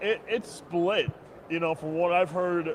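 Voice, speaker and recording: Noticeable background noise sits behind the speaker. A man with a fairly high pitch talks with ordinary pitch variation. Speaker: co-host. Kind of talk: casual chat. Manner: halting, repetitive.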